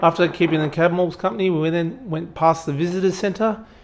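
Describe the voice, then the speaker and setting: A man with an Australian accent talks at a moderate pace in a high voice. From rural Australia. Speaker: travel vlogger, aviation meteorologist. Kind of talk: travel vlog voiceover.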